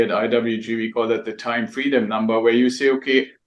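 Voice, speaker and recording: The pace of this man's speech is moderate. He has a German accent. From Germany. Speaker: real estate investor and mentor. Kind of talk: interview. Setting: podcast interview.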